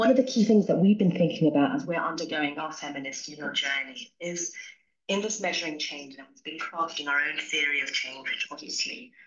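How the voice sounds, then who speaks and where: A woman with a plain, everyday voice talks at a fairly quick pace and a fairly low pitch, using lively intonation and big swings in loudness. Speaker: NGO worker. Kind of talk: webinar comment.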